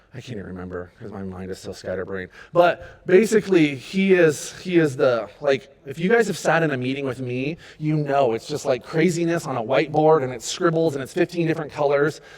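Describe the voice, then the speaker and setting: A man with an American accent talks at a fairly quick pace and a fairly high pitch, with hardly any pauses. His pitch swings very widely, his loudness swings a lot, and background noise is noticeable. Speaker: youth pastor. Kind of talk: volunteer training talk. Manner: high energy.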